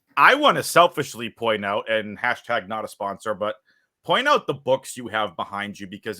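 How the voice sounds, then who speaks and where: With a Boston accent and a bright, sharp tone, a man speaks at a moderate pace in a dry, close sound with no echo, in a very clean recording with a silent background. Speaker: interviewer, event organizer. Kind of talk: interview.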